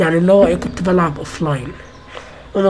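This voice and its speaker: Rushing at a very fast pace, a woman with a fairly low voice speaks with ordinary pitch variation over noticeable background noise. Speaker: gaming youtuber. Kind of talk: casual vlog rant. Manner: halting, repetitive.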